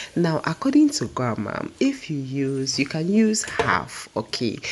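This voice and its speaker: Against noticeable background noise, a woman speaks at a fairly slow pace in a very deep, low pitch. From Ghana (Dangme, Ada/Krobo). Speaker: food vlogger. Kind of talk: cooking tutorial. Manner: casual, chatty.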